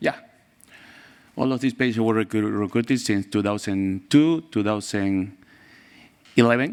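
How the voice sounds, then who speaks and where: A man with a Spanish accent, fairly low-pitched, at a moderate pace with long, frequent pauses and ordinary pitch variation, on a very clean recording with a silent background. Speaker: pediatrician and researcher. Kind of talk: conference presentation. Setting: conference stage with audience. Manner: halting.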